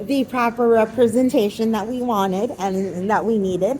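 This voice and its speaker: Music plays in the background. The speech moves at a fairly slow pace with ordinary pitch variation. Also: woman. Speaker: podcast host. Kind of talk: movie review monologue. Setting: recording on camera.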